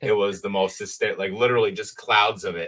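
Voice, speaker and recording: A man with a New Jersey accent and fairly even intonation. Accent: New Jersey accent, self-described as horrible. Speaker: trading card collector. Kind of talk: casual chat.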